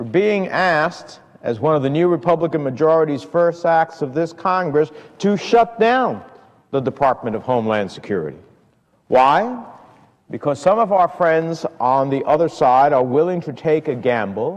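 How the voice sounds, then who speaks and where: Against quiet surroundings, a man speaks at a moderate pace. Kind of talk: formal political speech. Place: hall.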